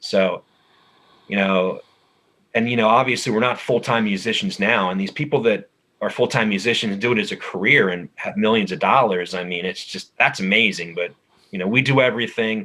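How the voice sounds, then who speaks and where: A man's bright, sharp voice, fairly low-pitched, at a fairly quick pace with ordinary pitch variation. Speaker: metal band vocalist. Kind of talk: interview.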